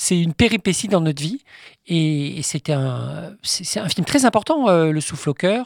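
The intonation is lively. The sound is dry and close with no echo, in a very clean recording with a silent background. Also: man, high pitch for a man. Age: 50s. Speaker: film historian and author. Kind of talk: interview.

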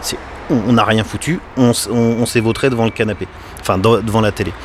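A man at a medium pitch and fairly quick pace, with noticeable background noise. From western France, Les Sables-d'Olonne (Vendée). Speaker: cinema owner. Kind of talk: interview. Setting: cinema lobby, doors open. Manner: halting, unfinished sentences.

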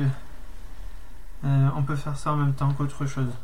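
A man speaks in a flat monotone at a fairly high pitch, with audible echo in the room. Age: 40s. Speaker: craftsman podcaster. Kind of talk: casual monologue. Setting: workshop. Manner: halting, many hesitations.

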